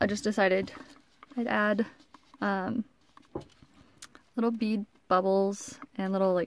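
Speaking at a fairly slow pace, a woman with a fairly high pitch and ordinary pitch variation comes across dry with no echo over light background noise. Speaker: hobby crafter. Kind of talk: casual talk to camera. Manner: mumbling, quiet; hesitant, many fillers. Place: home room. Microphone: phone near.

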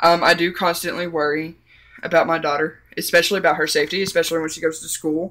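With a Southern US accent, the speaker moves at a fairly quick pace on a very clean recording with a silent background. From US South. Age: 20s. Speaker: vlogger. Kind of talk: personal testimony. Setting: at home with child in background. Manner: halting.

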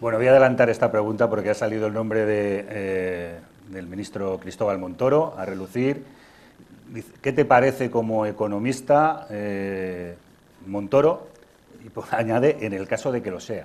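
In an ordinary speaking voice, a man talks at a moderate pace and a fairly low pitch, with ordinary pitch variation and big swings in loudness. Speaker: TV host and moderator; TV host, moderator. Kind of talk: moderating a public interview, reading audience questions. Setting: live event with audience. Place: hall. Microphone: lapel.

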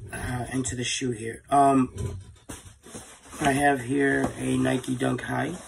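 With noticeable background noise behind him, a man speaks at a very slow pace with long, frequent pauses. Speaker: sneaker reviewer. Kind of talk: casual product review. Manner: hesitant with fillers.

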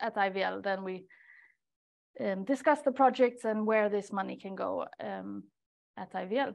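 The background is quiet. A woman speaks at a very slow pace. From Sweden, Stockholm. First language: Swedish. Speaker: research coordinator. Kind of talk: webinar talk. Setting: seminar room with audience and online participants. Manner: hesitant, many fillers. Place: meeting room.

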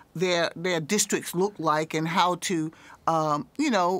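A woman with a North Carolina accent speaks at a moderate pace, her fairly low pitch held in a fairly even intonation. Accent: US Southern (North Carolina). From Raleigh, North Carolina. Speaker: politician. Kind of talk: interview. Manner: halting, many fillers.

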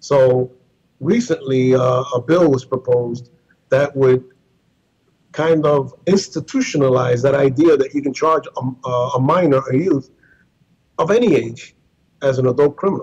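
In a quiet background, a man speaks at a fairly slow pace with long, frequent pauses. His voice is somewhat breathy and fairly high, with ordinary pitch variation. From Puerto Rico. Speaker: civil liberties advocate. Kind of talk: interview. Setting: video call. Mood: serious, concerned. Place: office. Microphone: internet connection with possible glitches; video call.

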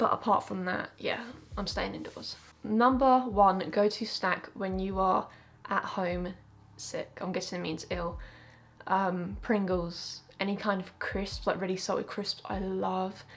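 Talking fairly slowly in a southern English accent, a woman uses fairly even intonation and vocal fry. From Essex, England. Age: 20s. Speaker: YouTuber. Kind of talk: casual talk to camera. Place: home room.

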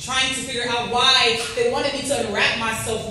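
A woman talks in a high pitch with strong room echo. Light background noise sits underneath. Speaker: spoken word poet. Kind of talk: spoken word poetry performance. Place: hall.

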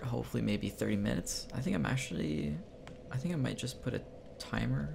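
Over noticeable background noise, a man with a very deep, low voice speaks at a very fast pace. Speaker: let's play gamer. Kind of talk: casual gameplay commentary.

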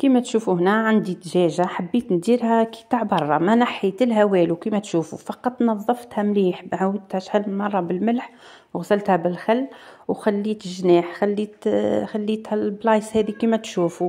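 Over a quiet background, a woman speaks in a dark, mellow tone with fairly even intonation. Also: moderate pace. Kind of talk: tutorial. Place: home room.

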